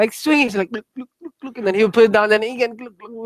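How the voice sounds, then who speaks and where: Ordinary pitch variation in a Spanish accent, a dry, close sound with no echo, and a very clean recording with a silent background. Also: man. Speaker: Buddhist teacher. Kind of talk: dharma talk. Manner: casual, filler-heavy.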